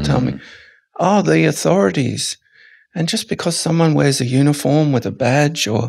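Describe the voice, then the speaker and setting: An Australian accent comes from a man speaking at a moderate pace. His loudness is very even, and the background is quiet. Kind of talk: podcast interview answer; interview answer. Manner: reflective, with pauses. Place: tent. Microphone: studio mic.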